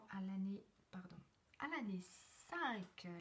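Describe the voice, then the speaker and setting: Soft-spoken and somewhat breathy, a woman talks at a very slow pace in a medium pitch with ordinary variation. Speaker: numerologist and personal development coach. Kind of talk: live stream numerology forecast. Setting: live video stream from a temporary place. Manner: halting.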